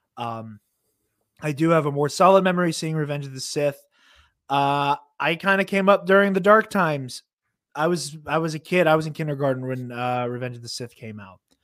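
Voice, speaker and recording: This man has an unremarkable speaking voice, fairly high in pitch, talking at a fairly quick pace with ordinary pitch variation. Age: 20s. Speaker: podcaster. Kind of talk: casual chat. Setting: live stream.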